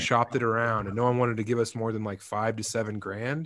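A man with an American accent at a very fast pace and medium pitch, on a very clean recording with a silent background. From Colorado, Eastern Plains. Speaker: comedian and author. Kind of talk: casual chat.

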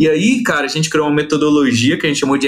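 Lively intonation in a man's fairly high voice. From Brazil. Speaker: study-abroad consultancy founder. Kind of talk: interview. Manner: animated.

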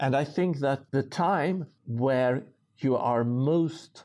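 A man with a Swedish accent speaks at a very slow pace with a dark, mellow tone and ordinary pitch variation. The recording is very clean, with a silent background. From rural Sweden. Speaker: social entrepreneur and author. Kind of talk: interview.

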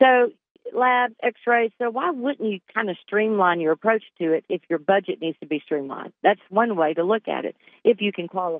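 Using an ordinary speaking voice at medium pitch, a woman speaks at a moderate pace with lively intonation. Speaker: independent insurance agent. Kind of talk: radio interview.

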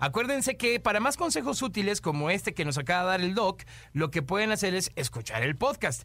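Speaking in a Mexican accent, a man sounds animated, with a high pitch, very wide pitch swings, a bright, sharp tone, very even loudness and a fairly quick pace, all in a very clean recording with a silent background. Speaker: radio host. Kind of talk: casual chat.

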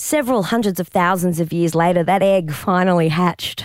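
Captured in a very clean recording with a silent background, a woman with an Australian accent speaks at a moderate pace, her fairly low pitch varying in ordinary ways. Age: 40s. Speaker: comedian and improviser. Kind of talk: casual interview chat.

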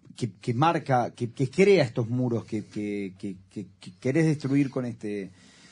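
A dark, mellow, somewhat breathy voice with lively intonation at a moderate pace. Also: man. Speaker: radio host. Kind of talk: interview. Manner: halting.

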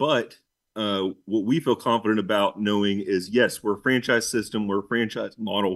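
Fairly even in intonation, a man speaks at a moderate pace with a fairly low pitch. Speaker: business owner. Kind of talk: interview. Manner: halting, many fillers.

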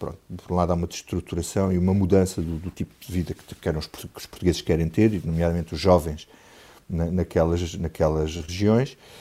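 With a very deep, low pitch and a dark, mellow tone, a man speaks at a fairly quick pace, his intonation fairly even but his loudness swinging widely. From Portugal, Alentejo (Grândola). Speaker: political journalist. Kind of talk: radio panel discussion.

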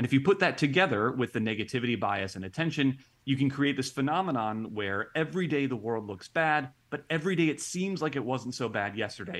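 A man with an American accent has an unremarkable speaking voice, medium in pitch, with lively intonation. He talks at a fairly quick pace over a quiet background. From Ohio, US Midwest. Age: 30s. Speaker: experimental psychologist. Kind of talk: interview.

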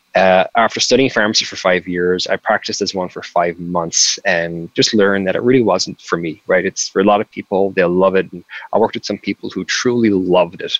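With a Cork accent, a man speaks at a fairly quick pace in a very deep, low pitch and fairly even intonation, recorded with a dry, close sound and no echo. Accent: Cork Irish. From Ireland, County Cork. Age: 30s. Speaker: tech startup founder. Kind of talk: interview.

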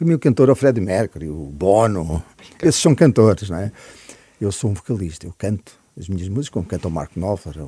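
Speaking at a fairly quick pace, a man with a fairly low, dark, mellow, somewhat breathy voice makes very wide pitch swings and big swings in loudness. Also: dry, close sound with no echo. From Portugal (Cascais area, childhood partly in Africa). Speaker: musician. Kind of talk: interview chat.

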